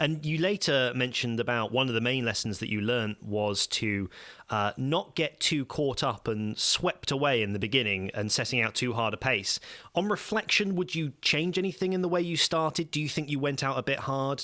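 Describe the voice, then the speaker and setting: A man with an ordinary speaking voice talks at a moderate pace and medium pitch. His intonation is lively while his loudness stays very even. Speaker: podcast host. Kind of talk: interview questions.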